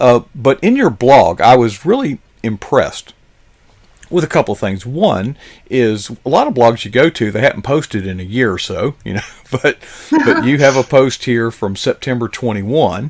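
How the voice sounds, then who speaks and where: This man has a normal speaking voice, medium in pitch, with lively intonation and a moderate pace. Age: 60s. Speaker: live stream show host. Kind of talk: interview. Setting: studio.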